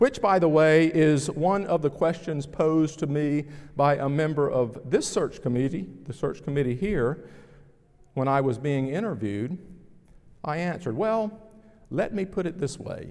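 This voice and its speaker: Speaking at a moderate pace with a Southern US accent, a man uses lively intonation in a fairly high voice. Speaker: pastor. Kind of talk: sermon. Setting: church.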